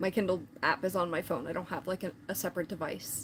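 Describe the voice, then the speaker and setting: A somewhat breathy woman at a fairly quick pace. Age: 40s. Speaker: falconer and livestreamer. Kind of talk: casual livestream chat reading viewer comments. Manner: casual, many fillers and restarts.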